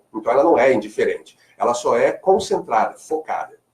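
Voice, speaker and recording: Fairly quick speech from a man with a slight Carioca accent. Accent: slight Carioca (Rio de Janeiro). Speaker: marketing speaker and lecturer. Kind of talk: radio interview. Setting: radio studio.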